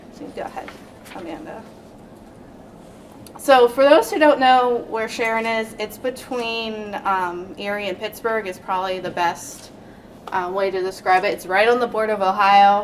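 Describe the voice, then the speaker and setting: A woman with a fairly high pitch talks at a moderate pace, with ordinary pitch variation and big swings in loudness. She leaves long, frequent pauses, and noticeable background noise is present. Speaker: code enforcement officer. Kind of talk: panel presentation. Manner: soft-spoken.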